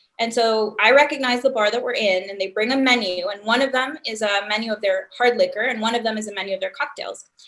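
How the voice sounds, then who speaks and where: A woman with a Spanish accent talks very fast in a fairly high voice, with fairly even intonation and hardly any pauses. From Honduras. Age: young. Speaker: startup founder and CEO. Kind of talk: interview.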